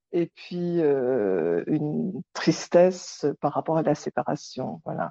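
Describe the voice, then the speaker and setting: At a very slow pace, a dark, mellow voice comes through a dry, close sound with no echo and a quiet background. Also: woman. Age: 60s. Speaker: nurse. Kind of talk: interview.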